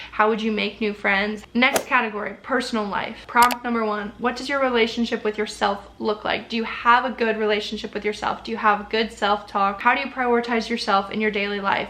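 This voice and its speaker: Fairly quick, fairly high-pitched speech from a woman, with noticeable background noise. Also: hardly any pauses. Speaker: lifestyle vlogger. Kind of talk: casual tutorial to camera. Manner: fast; animated.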